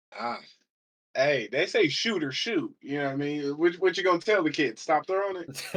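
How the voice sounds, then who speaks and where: With an American accent, a man speaks at a moderate pace in a high pitch, his intonation lively. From Michigan, US Midwest. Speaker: college football player. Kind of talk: casual chat.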